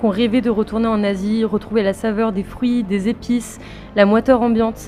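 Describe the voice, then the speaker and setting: With music in the background, a woman talks at a fairly quick pace in a fairly high pitch, her intonation monotone and flat. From Rouen, France. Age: 20s. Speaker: travel vlogger. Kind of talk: voice-over narration.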